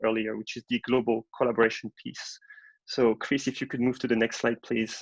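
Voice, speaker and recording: A man with a French accent speaks at a medium pitch, the sound dry and close with no echo. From France. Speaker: marketing director. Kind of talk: webinar presentation. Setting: online webinar.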